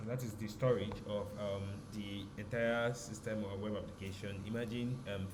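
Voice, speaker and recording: A man speaks quietly at a fairly low pitch, his intonation flat and monotone. Noticeable background noise and audible room echo fill the recording. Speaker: programming tutor. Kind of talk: tutorial. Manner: hesitant, many filler ums.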